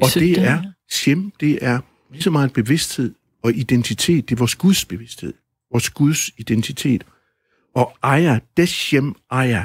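Somewhat breathy, a man speaks at a fairly slow pace with lively intonation, the sound dry and close with no echo. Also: medium pitch for a man. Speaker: author and musician. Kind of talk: radio interview answer.

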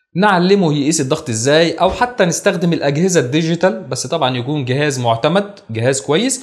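Against a quiet background, a man speaks at a fairly quick pace with lively intonation and hardly any pauses. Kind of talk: lecture. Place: studio. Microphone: lapel.

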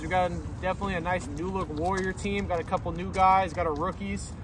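A man speaks at a fairly quick pace. The sound is dry with no echo, with noticeable background noise. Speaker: sports fan vlogger. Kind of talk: casual vlog chat. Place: street. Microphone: phone near.

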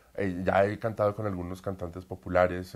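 A man with a very deep, low voice speaks at a moderate pace in a monotone, flat delivery. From Colombia. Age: 30s. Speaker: opera singer; interviewee. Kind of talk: interview. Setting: at home. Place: home room. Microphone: lapel.

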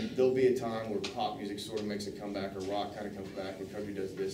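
With an American accent, the speaker talks over noticeable background noise. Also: man. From Oklahoma. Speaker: songwriter and music entrepreneur. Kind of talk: talk to students with Q&A. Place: classroom.

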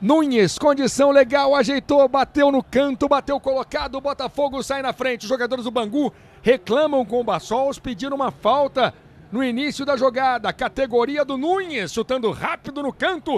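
Dry and close with no echo, a man talks at a moderate pace with an extremely high pitch and ordinary pitch variation. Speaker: football commentator. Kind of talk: live sports commentary.

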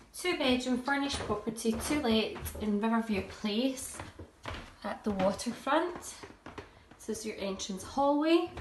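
At a fairly slow pace, a woman talks with long, frequent pauses against noticeable background noise. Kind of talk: property tour narration. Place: home room. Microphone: phone near.

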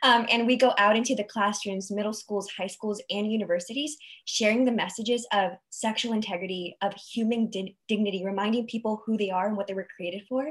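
Speaking at a fairly quick pace with hardly any pauses, a woman's fairly high, somewhat breathy voice keeps a fairly even intonation over a quiet background. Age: 20s. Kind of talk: panel discussion on video call. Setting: video call webinar. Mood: warm, engaged. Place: home room. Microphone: video call.

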